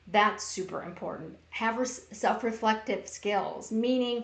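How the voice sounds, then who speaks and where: In a room with audible echo, a woman talks in a fairly high, monotone voice with flat intonation. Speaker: workplace bullying educator. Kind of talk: live-streamed talk. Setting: Facebook Live stream. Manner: loud.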